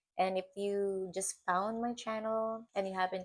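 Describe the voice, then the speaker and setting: A woman with a non-native accent speaks at a fairly slow pace. The recording is very clean, with a silent background. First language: not English. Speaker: vlogger. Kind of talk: personal reflection vlog. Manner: hesitant, with fillers and repetitions; slow, thoughtful.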